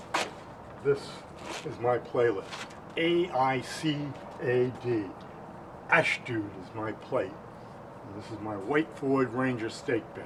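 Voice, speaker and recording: Very slow speech with long, frequent pauses, big swings in loudness, ordinary pitch variation and noticeable background noise. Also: man, medium pitch for a man. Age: 60s. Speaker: amateur true crime theorist. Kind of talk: casual video message. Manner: halting.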